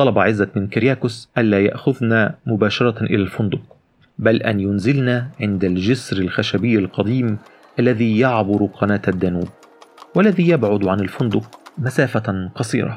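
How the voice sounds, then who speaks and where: Fairly low in pitch, this man speaks in an animated tone at a fairly slow pace. His loudness is very even and his pitch varies in an ordinary way. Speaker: audiobook narrator. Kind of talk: literary audiobook reading, first-person narration with character voices. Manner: animated storyteller, shifts tone between narrator and characters.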